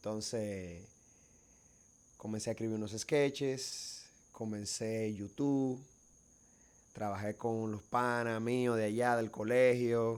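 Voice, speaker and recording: Speaking at a very slow pace with long, frequent pauses, a medium-pitched man with a Cibao Dominican accent keeps a fairly even intonation in a very clean recording with a silent background. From Dominican Republic, Bonao (Cibao region). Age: young. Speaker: filmmaker and actor. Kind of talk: casual chat.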